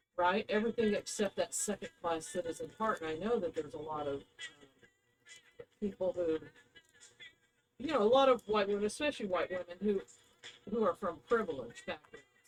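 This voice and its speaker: Music plays in the background as the speaker talks at a fairly quick pace with lively intonation and long, frequent pauses. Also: woman, medium pitch for a woman. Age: 60s. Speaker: psychic intuitive podcast co-host. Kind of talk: casual chat.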